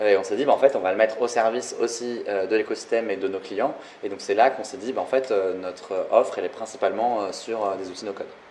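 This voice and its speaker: Talking very fast, a man at medium pitch keeps his intonation fairly even while his loudness swings widely. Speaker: no-code consultant and co-founder. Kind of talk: live talk interview.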